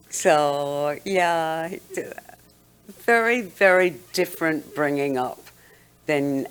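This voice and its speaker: A woman speaks with lively intonation. Music plays in the background. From London, England. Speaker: guest on a talk show. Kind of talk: interview, personal memories.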